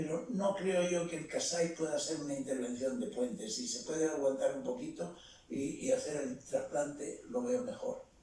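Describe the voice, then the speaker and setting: With audible room echo and noticeable background noise, a man speaks at a moderate pace in a high pitch, making very wide pitch swings. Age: 90s. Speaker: retired surgeon. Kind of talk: panel discussion.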